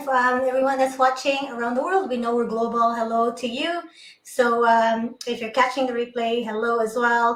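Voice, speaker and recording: A woman's voice, high in pitch. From Philippines, Cebu. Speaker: nurse and online business owner. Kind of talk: interview on a live stream. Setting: live online stream.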